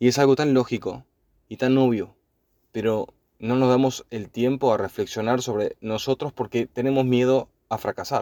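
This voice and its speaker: A man talks at a fairly slow pace with a dark, mellow tone. His intonation is monotone and flat, and the recording is very clean with a silent background. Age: 30s. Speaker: podcaster. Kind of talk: personal monologue. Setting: in a car.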